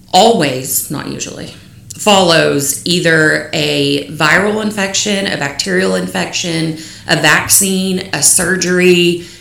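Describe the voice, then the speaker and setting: Audible room echo surrounds a woman talking very slowly with a West Texas accent. Her voice sits fairly low in pitch. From Lubbock, West Texas. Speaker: small business owner and stepmother with illness. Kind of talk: interview, personal testimony.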